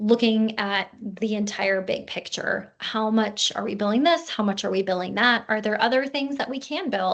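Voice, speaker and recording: With ordinary pitch variation and a moderate pace, this is an unremarkable speaking voice. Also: woman. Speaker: practice consultant. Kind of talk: webinar presentation. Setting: online webinar.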